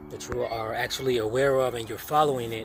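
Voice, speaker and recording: Fairly even intonation from a man over noticeable background noise. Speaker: personal development vlogger. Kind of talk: freestyle monologue. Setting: outdoors at a dock. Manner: usually a fast talker.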